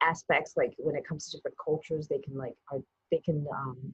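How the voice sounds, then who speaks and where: This somewhat breathy voice moves at a fairly quick pace with ordinary pitch variation. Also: woman. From Taiwan. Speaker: TV producer. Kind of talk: interview answer.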